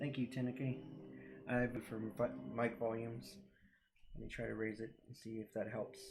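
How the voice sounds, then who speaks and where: At a moderate pace, a soft-spoken man with a somewhat breathy voice talks with long, frequent pauses. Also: medium pitch for a man, fairly even intonation. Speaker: artist and live streamer. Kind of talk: casual live stream commentary while drawing. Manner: halting, with many fillers.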